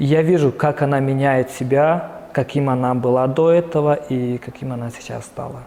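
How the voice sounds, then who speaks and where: Over noticeable background noise, a man talks at a moderate pace with hardly any pauses. His fairly high voice keeps a fairly even intonation. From Tuva, Russia. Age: 30s. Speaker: entrepreneur. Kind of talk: interview. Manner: hesitant, filler-heavy.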